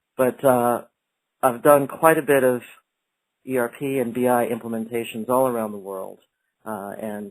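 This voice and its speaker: A man with an American accent at medium pitch, with fairly even intonation. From United States. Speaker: company executive presenting a webinar. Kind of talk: webinar presentation. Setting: online webinar. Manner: hesitant, many fillers.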